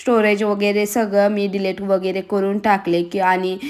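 Medium-pitched woman's voice over noticeable background noise. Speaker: home vlogger, mother. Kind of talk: casual vlog talk while cooking.

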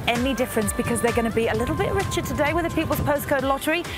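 Clear music plays behind a woman whose voice sounds dry with no echo. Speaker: lottery presenter. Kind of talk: presenter piece to camera. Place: waterside.

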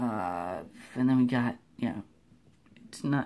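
A man with a dark, mellow tone at a moderate pace. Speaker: amateur movie reviewer. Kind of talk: casual vlog chat. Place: home room. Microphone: phone near.

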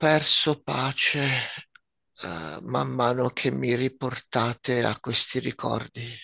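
Speaking very slowly with vocal fry, a man at medium pitch has a bright, sharp tone, ordinary pitch variation, and a dry, close sound with no echo. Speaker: nurse, medium. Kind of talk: channeling session.

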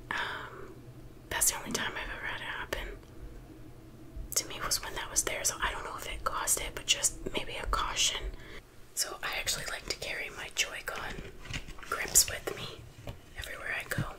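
Whispering at a moderate pace, a woman speaks in a relaxed tone with long, frequent pauses. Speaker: ASMR creator. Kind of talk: casual talk to camera. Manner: soft-spoken, relaxed.

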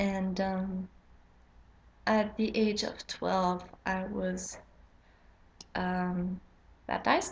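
In a Quebec accent, a woman speaks very slowly and somewhat breathily, with monotone, flat intonation and long, frequent pauses over light background noise. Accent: Québécois French-accented English. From Quebec, Canada. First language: French. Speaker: witchcraft vlogger. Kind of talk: casual vlog intro. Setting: home, late at night. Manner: halting, many fillers. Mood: somewhat nervous, hesitant. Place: home room. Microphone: webcam.

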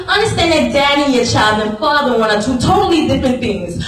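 A woman with a high-pitched voice talks at a fairly quick pace, and the room echo is audible. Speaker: spoken word performer. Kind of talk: spoken word poetry performance. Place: church.

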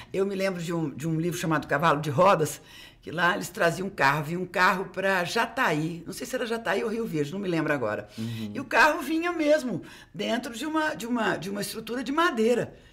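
A woman speaks fairly quickly, her pitch swinging very widely. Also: medium pitch for a woman. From Uberlândia, Minas Gerais, Brazil; Minas Gerais, Brazil. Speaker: geography professor. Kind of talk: casual chat. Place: studio. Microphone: studio mic.

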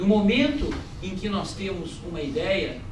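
Audible room echo and noticeable background noise accompany a man speaking at a high pitch with lively intonation. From Espírito Santo, Brazil (Vitória). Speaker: tax lawyer. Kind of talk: conference lecture. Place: hall.

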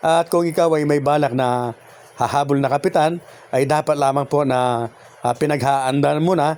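A man with an ordinary speaking voice talks at a moderate pace. His pitch is fairly high and his intonation fairly even. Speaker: YouTube vlogger giving barangay election tips. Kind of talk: vlog monologue. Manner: frequent filler pauses (uh); polite, formal.

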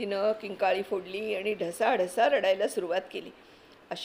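Someone reads in an unforced voice, keeping the intonation fairly even.

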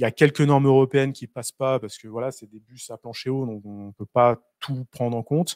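A man speaks at a fairly quick pace with fairly even intonation and big swings in loudness. The sound is dry with no echo, over a quiet background. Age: 30s. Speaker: engineering consultant; presenter. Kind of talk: presentation. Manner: halting. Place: meeting room. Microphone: handheld.

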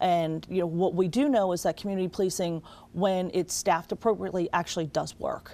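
A woman speaks at a fairly quick pace, her medium-pitched voice dark and mellow in tone. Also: ordinary pitch variation. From Wilmington, Delaware; Delaware. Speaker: state legislator; guest. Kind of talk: TV interview. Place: studio.

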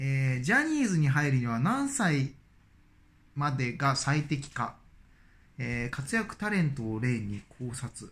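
A man's fairly high pitch at a fairly slow pace, with lively intonation. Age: 40s. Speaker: dentist and YouTuber; YouTuber. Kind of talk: casual vlog monologue. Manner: hesitant, many fillers. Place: home room. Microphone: phone near.

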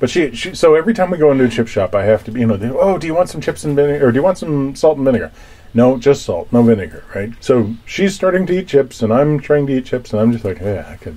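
A man talks at a very fast pace. He leaves hardly any pauses. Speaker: boat vlogger. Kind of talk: casual vlog chat. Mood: playful, joking storytelling. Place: boat. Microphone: phone near.

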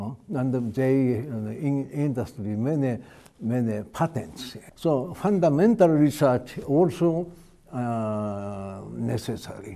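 Man with a Japanese accent, a dark, mellow tone, lively intonation and a very slow pace. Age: 80s+. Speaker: retired chemistry professor. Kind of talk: interview. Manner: halting, many fillers.

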